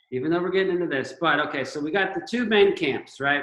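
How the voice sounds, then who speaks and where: A man speaks in a high voice. His pace is very fast. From Florida, Gainesville. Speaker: surfer. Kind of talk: casual chat.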